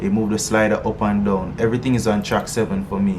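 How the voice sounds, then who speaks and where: With audible room echo and noticeable background noise, a man talks at a fairly low pitch. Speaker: music producer and singer. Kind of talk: tutorial. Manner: casual, halting with fillers.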